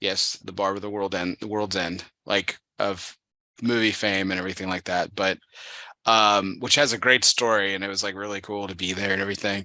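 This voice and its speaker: A man speaks at a fairly low pitch in a bright, sharp tone with monotone, flat intonation. The background is quiet. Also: fairly quick pace. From Texas, El Paso. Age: 30s. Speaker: podcast host. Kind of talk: casual chat. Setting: studio.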